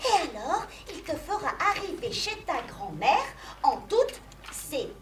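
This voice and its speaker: A cartoonish character voice at an extremely high pitch, with clear background noise. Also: moderate pace. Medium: puppet. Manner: calm, instructive.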